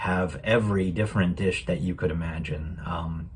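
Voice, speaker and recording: Speaking at a moderate pace with ordinary pitch variation, a man with an American accent has a very deep, low voice that is somewhat breathy. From United States. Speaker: program guest sharing a holiday story. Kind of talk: personal reflection. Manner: hesitant, many fillers.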